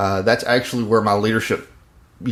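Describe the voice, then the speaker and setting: A man's fairly low voice in a Mississippi accent, with fairly even intonation. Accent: Southern (Mississippi). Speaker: podcast host, leadership coach. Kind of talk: casual podcast chat. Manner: hesitant, many fillers.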